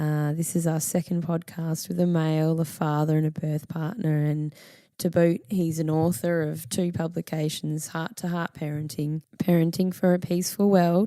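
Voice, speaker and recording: Recorded very cleanly with a silent background, a woman with an Australian accent speaks at a moderate pace in a fairly low, dark and mellow tone, with fairly even intonation. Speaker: podcast host. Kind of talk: podcast intro and interview.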